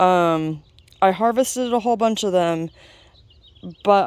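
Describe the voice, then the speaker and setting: In an ordinary speaking voice of medium pitch, a woman talks at a moderate pace in a very clean recording with a silent background. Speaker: home gardener vlogger. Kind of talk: casual walkthrough tour. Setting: outdoors in garden.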